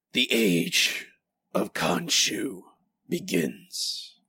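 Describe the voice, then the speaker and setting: A man puts on a raspy character voice. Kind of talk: trailer-style announcement. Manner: dramatic, announcing.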